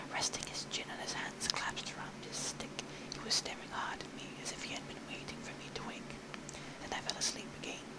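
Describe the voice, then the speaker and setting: Someone whispers at a fairly quick pace with noticeable background noise. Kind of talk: audiobook reading. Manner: whispered; soft, relaxing.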